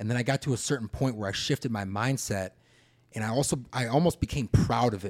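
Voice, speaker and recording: Very fast speech comes from a man at medium pitch with ordinary pitch variation. The sound is dry and close, with no echo. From Wheaton, Illinois, US. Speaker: podcast host. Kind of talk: casual chat. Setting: studio.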